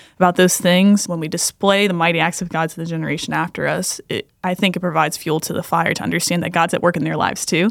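Monotone and flat, a woman talks at a very fast pace in a fairly low voice with vocal fry. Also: hardly any pauses. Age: 20s. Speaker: pastor. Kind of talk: casual chat.

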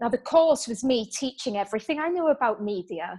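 Speaking with a British accent, a woman uses a fairly high pitch and lively intonation. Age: 30s. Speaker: author and business coach. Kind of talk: interview.

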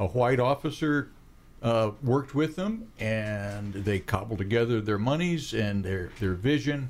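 A man with a plain, everyday voice, medium pitch, lively intonation and very even loudness, at a fairly slow pace on a very clean recording with a silent background. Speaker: radio host. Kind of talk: casual interview chat. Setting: studio.

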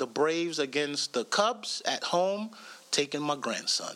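A man's raised, projected voice, bright and sharp in tone, with lively intonation at a fairly slow pace. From Jamaica. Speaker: comedian. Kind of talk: casual chat.

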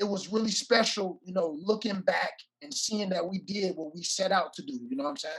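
Speaking at a fairly quick pace, a man with an American accent uses a high pitch with ordinary variation and big swings in loudness. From Oakland, California. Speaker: retired NFL player. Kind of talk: casual interview.

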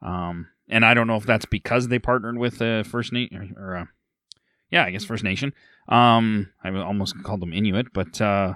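A man with a Canadian Prairie accent, fairly low pitch and fairly quick pace, in a dry, close sound with no echo on a very clean recording with a silent background. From central Alberta, Canada. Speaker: podcast host. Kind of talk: casual chat.

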